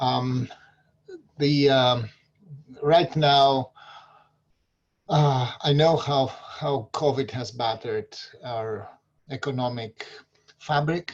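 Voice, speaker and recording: Somewhat breathy speech comes in a Greek accent at a very slow pace with long, frequent pauses. The intonation stays fairly even. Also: man, medium pitch for a man. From Greece. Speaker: local political candidate. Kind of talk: community forum talk. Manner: halting, many fillers.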